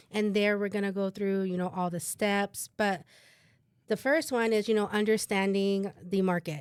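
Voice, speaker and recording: A woman's medium-pitched voice at a moderate pace, fairly even in intonation, on a very clean recording with a silent background. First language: bilingual Spanish and English. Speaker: realtor co-host. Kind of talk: casual podcast chat.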